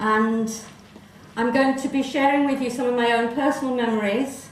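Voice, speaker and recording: A woman speaks at a very slow pace in a fairly high, monotone, flat voice. Noticeable background noise and audible room echo are present. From South Africa, Johannesburg. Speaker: presenter telling family history. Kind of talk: presentation to festival audience.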